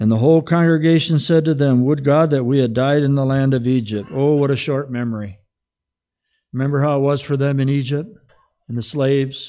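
On a very clean recording with a silent background, a man speaks fairly quickly at a fairly high pitch in a dark, mellow tone. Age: 70s. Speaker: pastor. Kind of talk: sermon. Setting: church. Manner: animated.

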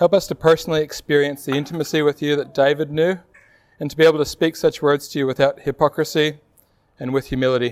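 With monotone, flat intonation, a man at fairly high pitch talks at a very fast pace with big swings in loudness. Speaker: preacher. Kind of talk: sermon. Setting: church.

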